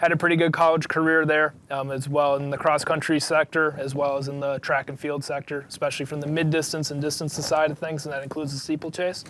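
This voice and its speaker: A man with a Wisconsin accent talks very fast, barely pausing at all. His fairly high voice stays monotone and flat. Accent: Wisconsin (Upper Midwest). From Wisconsin, US. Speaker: cross country coach. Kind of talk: interview. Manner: casual, with frequent fillers.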